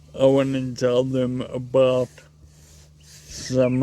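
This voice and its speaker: Against noticeable background noise, a man with a medium pitch talks at a very slow pace. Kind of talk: personal appeal. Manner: slow, slightly slurred speech; halting, repeats words.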